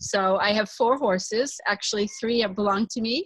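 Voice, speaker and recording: Somewhat breathy, the speech comes in an American accent with ordinary pitch variation. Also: woman. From United States. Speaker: corporate consultant and equine body worker. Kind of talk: interview.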